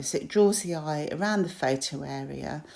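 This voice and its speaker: With a British accent, a woman speaks at a fairly low pitch. Her tone is dark and mellow, and her pitch varies in an ordinary way. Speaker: crafter. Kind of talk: tutorial. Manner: hesitant with fillers.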